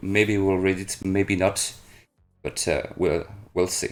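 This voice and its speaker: A man speaks at a fairly slow pace in a French accent. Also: very clean recording, silent background. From France, Brittany. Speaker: streamer and interviewer. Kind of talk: interview. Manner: halting.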